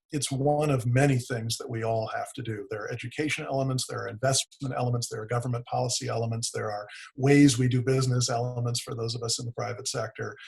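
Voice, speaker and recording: A man with an American accent talks at a very fast pace with hardly any pauses, his medium-pitched voice somewhat breathy and his intonation monotone and flat. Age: 60s. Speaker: economic development executive. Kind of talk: webinar presentation.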